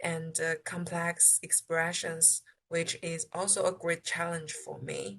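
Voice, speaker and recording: A woman with a Chinese accent speaks at a fairly slow pace. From China. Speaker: international student. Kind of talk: interview answers. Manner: halting.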